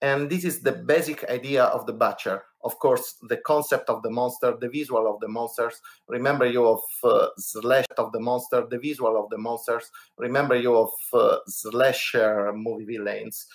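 The pace here is moderate. A man talks with an Italian accent. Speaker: board game podcast co-host. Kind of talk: podcast segment presentation. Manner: halting, many fillers.

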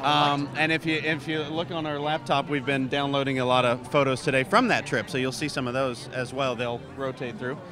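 Over noticeable background noise, a man speaks with fairly even intonation and hardly any pauses. The sound is dry, with no echo. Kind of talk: interview answer. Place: hall. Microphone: handheld.

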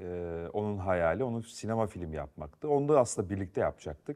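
With a dark, mellow tone, a man speaks at a fairly low pitch with very wide pitch swings against a quiet background. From Turkey, Yozgat; Turkey. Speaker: film and TV director; guest. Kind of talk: studio interview. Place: studio. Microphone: lapel.

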